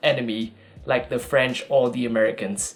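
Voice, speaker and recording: Speaking with a Vietnamese accent, a man keeps a medium pitch and a moderate pace. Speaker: YouTuber. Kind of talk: casual tutorial. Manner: casual.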